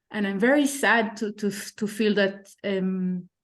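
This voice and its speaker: In an Israeli accent, a woman speaks at a medium pitch with ordinary pitch variation. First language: Hebrew. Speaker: participant asking a question. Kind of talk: online panel discussion.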